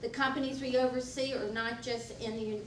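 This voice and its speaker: A woman talks at a very fast pace in a monotone, flat intonation, with audible room echo and noticeable background noise. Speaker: political candidate, incumbent insurance commissioner. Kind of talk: candidate forum speech. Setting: public forum with audience.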